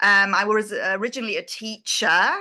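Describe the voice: Her tone is bright and sharp. The woman speaks with an English accent. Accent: British, English.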